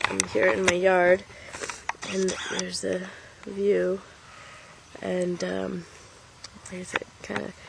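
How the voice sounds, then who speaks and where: With noticeable background noise behind her, a woman talks at a very slow pace with long, frequent pauses. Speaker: tarot card reader. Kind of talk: casual vlog. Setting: outdoors in her yard. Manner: halting.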